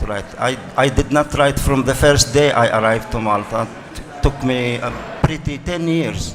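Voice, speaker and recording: A man with an Arabic accent speaks at a fairly high pitch and a moderate pace. Noticeable background noise and audible room echo come through. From Arabic-speaking country. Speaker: writer. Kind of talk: panel discussion. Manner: halting, repetitive.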